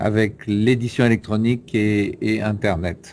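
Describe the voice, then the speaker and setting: A man with a fairly low pitch speaks at a very slow pace on a very clean recording with a silent background. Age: 60s. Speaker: publisher and author, guest expert. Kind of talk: interview. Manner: hesitant, many fillers.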